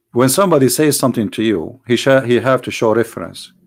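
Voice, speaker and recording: A man with an Arabic accent talks at a fairly quick pace and medium pitch, with lively intonation. The recording is very clean, with a silent background. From Middle East. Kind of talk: religious talk show monologue. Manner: halting, repeats words; animated.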